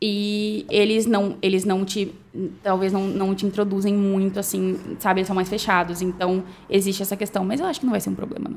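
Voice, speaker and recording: Against noticeable background noise, a woman speaks at a fairly quick pace with monotone, flat intonation. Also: medium pitch for a woman. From Brazil, Cuiabá, Mato Grosso. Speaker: newly graduated doctor. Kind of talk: casual chat.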